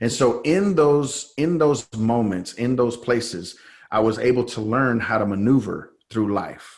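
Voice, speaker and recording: With an American accent, a man talks at a moderate pace in a normal speaking voice, his medium pitch carrying lively intonation. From San Jose, California. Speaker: faith-based coach, former pastor. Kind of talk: interview testimony. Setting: podcast.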